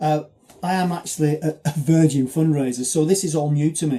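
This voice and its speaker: A man's somewhat breathy voice, fairly high in pitch, with a dark, mellow tone. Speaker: charity marathon runner. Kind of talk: video appeal. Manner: fast; halting.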